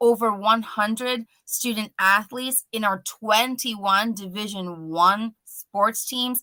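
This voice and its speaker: A woman's fairly high voice, bright and sharp in tone, at a fairly slow pace with ordinary pitch variation. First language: Spanish. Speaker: college admissions representative. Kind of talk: promotional interview.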